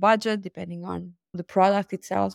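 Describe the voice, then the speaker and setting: A woman speaks at a moderate pace with a medium pitch, in a very clean recording with a silent background and a dry, close sound with no echo. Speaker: e-commerce agency founder. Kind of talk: interview.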